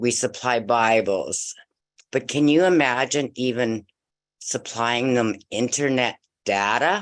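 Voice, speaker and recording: Someone speaks at a very slow pace over a quiet background. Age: 60s. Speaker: business promoter. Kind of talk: open mic testimony. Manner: animated.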